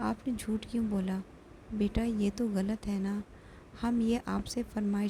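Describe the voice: Fairly even intonation in plain reading aloud.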